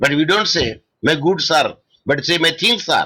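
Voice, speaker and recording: A man speaks with a bright, sharp tone. His pace is fairly slow. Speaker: law lecturer. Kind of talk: online lecture. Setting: online video class. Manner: loud; halting.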